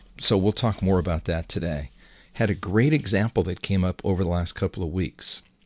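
Over a very clean recording with a silent background, a man's very deep, low voice shows ordinary pitch variation. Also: fairly quick pace. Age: about 20 years older than co-host. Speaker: investing podcast host. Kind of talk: casual chat.

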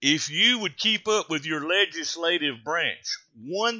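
A man with a Southern US accent speaks at a very slow pace in a high pitch, his voice swinging very widely up and down. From North Carolina. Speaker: radio host. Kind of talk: talk radio monologue.

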